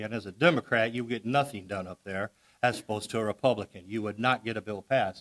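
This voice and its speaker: A man with a Missouri accent, fairly low-pitched, very fast pace, fairly even intonation. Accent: Midwestern American (Missouri). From Missouri, Festus (Jefferson County). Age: 60s. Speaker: political candidate, state representative. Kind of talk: campaign speech at candidates forum. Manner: casual, folksy.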